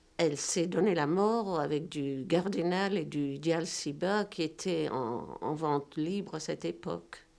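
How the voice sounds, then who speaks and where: A woman with a very deep, low pitch and vocal fry speaks very slowly with hardly any pauses and ordinary pitch variation. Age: 70s. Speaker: novelist. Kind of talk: interview monologue. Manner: halting.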